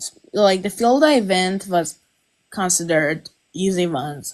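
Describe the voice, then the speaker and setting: Speaking with a Persian accent, a woman talks at a very slow pace. Her medium-pitched voice has lively intonation. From Iran. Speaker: viewer, amateur taxidermist. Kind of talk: casual chat. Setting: live stream.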